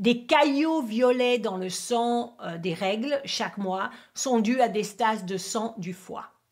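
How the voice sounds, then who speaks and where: The speaker talks at a very slow pace with an English accent. Pitch moves up and down in an ordinary way. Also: woman, fairly high pitch for a woman. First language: English (speaking French). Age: 50s. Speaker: acupuncturist and teacher. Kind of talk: tutorial. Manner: halting, non-native French.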